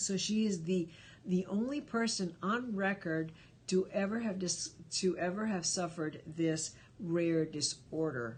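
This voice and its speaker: A somewhat breathy woman with a fairly low pitch and a slight Spanish accent. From Cuba. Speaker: live stream host. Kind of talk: casual live stream chat. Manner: conversational, many fillers.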